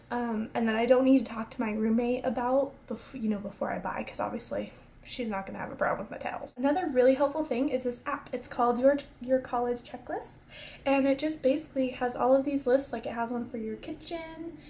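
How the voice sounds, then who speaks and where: At a fairly quick pace, a woman speaks in a high pitch with ordinary pitch variation amid noticeable background noise. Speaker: college student vlogger. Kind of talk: casual advice vlog. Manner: fast; energetic.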